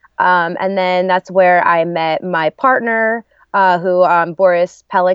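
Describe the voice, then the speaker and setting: A woman with an American accent speaks at a fairly slow pace in a fairly low pitch, an unremarkable speaking voice. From New Jersey, US. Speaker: singer and actress. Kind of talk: casual chat.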